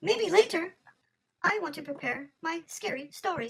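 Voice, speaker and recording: Someone puts on a squeaky character voice at an extremely high pitch. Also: moderate pace. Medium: audio drama. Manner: dry, self-assured.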